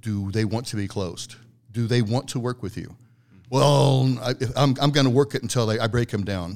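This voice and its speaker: A man with a normal speaking voice talks at a moderate pace, his medium pitch showing ordinary variation. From Italian-American heritage. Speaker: agency founder and business development guest. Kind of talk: casual interview conversation.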